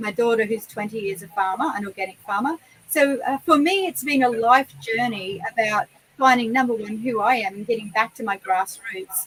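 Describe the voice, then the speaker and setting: Speaking with an Australian accent, a woman talks at a moderate pace in a fairly high pitch with lively intonation over noticeable background noise. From Queensland, Australia (Noosa Shire). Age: 50s. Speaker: horse trainer. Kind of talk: interview.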